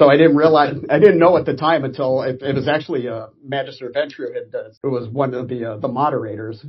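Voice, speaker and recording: A man with an American accent speaks at a very fast pace and fairly high pitch, somewhat breathy, with ordinary pitch variation. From US West Coast (Orange County, California). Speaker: Navy veteran. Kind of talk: interview.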